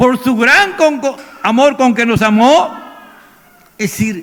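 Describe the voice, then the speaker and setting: Using a raised, projected voice, a man talks with pitch that varies in an ordinary way. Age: 70s. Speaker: pastor. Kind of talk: sermon.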